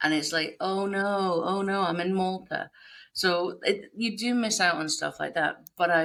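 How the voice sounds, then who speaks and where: Fairly slow speech comes from a woman. She talks in a Scottish accent. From northeast Scotland. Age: 40s. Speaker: game industry professional. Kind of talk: casual chat.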